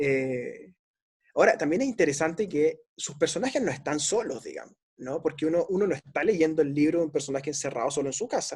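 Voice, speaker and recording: Using an unremarkable speaking voice, a man talks fairly quickly at a fairly high pitch with lively intonation. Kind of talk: book discussion interview.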